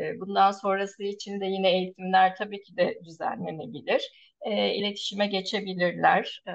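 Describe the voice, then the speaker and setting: A woman speaks at medium pitch in a monotone, flat way. Her loudness swings a lot. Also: moderate pace. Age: 40s. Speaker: nursing professor. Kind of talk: interview. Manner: halting with many filler sounds.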